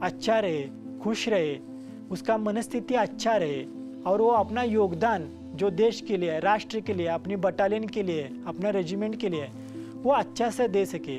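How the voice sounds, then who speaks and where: Over music in the background, a man speaks in a high pitch with lively intonation. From Karnataka, India. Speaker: retired army soldier, Siachen veteran. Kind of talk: interview answer.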